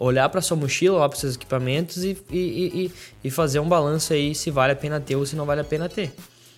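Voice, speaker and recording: Very fast speech from a man at fairly high pitch with fairly even intonation. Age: 20s. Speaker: podcast host, videographer. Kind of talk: solo podcast monologue. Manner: hesitant, many fillers.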